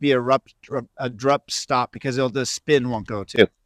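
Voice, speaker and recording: A man talks in a plain, everyday voice at medium pitch, his intonation fairly even. The sound is dry and close, with no echo. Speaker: senior professional disc golfer and coach. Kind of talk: instructional tutorial.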